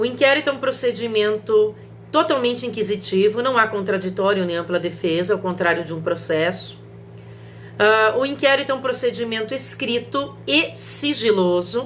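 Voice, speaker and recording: A woman's fairly high voice with lively intonation, heard with audible room echo. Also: moderate pace. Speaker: law professor. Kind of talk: recorded video lecture.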